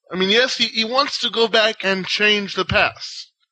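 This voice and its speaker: A raised, projected voice at a fairly slow pace, with ordinary pitch variation. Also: man. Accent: Israeli. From Israel. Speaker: podcast panelist. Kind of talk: casual chat. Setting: online voice call.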